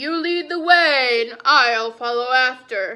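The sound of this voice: A woman puts on a character voice with a high pitch and a bright, sharp tone. She speaks at a slow pace with ordinary pitch variation.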